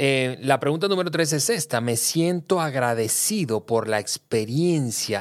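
A man with a fairly high pitch and very wide pitch swings. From Venezuela. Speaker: podcast co-host. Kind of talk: casual chat. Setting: studio.

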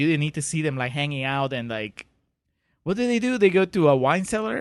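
At a fairly quick pace, a man with a non-native accent talks in a fairly high pitch with lively intonation. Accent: foreign-accented English. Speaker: podcast co-host. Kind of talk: casual banter discussing a film.

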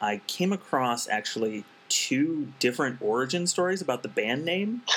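A man speaks at a moderate pace with lively intonation while music plays in the background. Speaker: podcast host. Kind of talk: interview.

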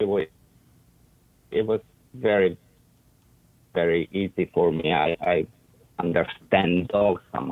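With an Eastern European accent, a man speaks at a very deep, low pitch with ordinary pitch variation. His pace is fairly slow, with long, frequent pauses. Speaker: dog trainer and breeder. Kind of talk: casual interview.

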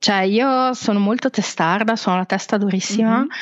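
Against a quiet background, a woman with a normal speaking voice talks at a fairly quick pace, with a medium pitch and ordinary pitch variation. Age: 40s. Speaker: travel blogger and freelance web marketer. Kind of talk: podcast interview.

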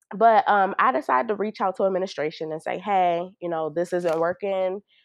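A woman with an American accent and a normal speaking voice, fairly low in pitch, with ordinary pitch variation and a fairly quick pace. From Baltimore, Maryland. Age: 20s. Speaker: PhD student. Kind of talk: casual interview.

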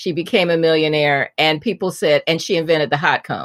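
Recorded very cleanly against a silent background, a woman with a fairly low pitch speaks at a fairly quick pace in a dry, close sound with no echo. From US Midwest, Indianapolis. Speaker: author and former TV journalist. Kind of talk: interview, storytelling.

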